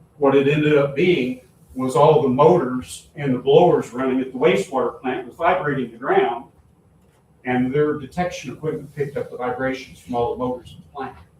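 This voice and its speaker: A man with a fairly high pitch speaks in big swings of loudness against noticeable background noise. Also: fairly quick pace. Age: 70s. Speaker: town official. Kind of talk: public meeting talk. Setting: town meeting. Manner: animated.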